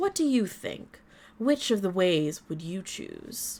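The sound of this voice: A soft-spoken, put-on character voice with very wide pitch swings, big swings in loudness, and a fairly slow pace. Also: woman, medium pitch for a woman.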